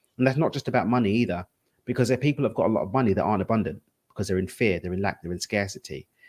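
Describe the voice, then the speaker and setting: On a very clean recording with a silent background, a man at medium pitch speaks with lively intonation. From England, East London. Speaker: entrepreneur and coach. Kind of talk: interview.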